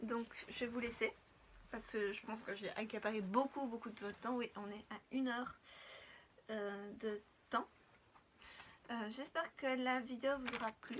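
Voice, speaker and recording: A soft-spoken woman with fairly even intonation and long, frequent pauses, against noticeable background noise. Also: fairly high pitch for a woman, fairly slow pace. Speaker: doll collector YouTuber. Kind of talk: unboxing tutorial.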